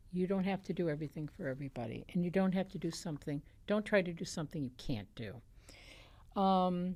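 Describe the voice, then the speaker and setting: At a fairly quick pace, a woman speaks in a dark, mellow tone with a fairly low pitch and ordinary pitch variation. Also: very clean recording, silent background. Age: 70s. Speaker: lupus charity leader and patient. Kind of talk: informal advice talk to camera. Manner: conversational, frequent fillers.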